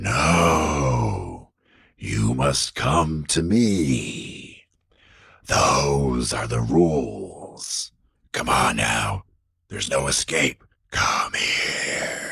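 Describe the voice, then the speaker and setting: A man's put-on character voice, very deep and low, raspy and hissing, menacing in tone at a very slow pace. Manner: menacing, taunting.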